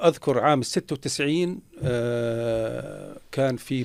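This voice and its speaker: A man speaks with a Jordanian accent. His pitch varies in an ordinary way. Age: 60s. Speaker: former minister. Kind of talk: interview. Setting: radio studio. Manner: halting.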